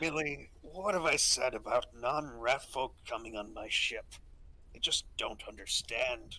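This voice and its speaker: At a fairly slow pace, the man puts on a character voice. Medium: actual play. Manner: gruff, blunt.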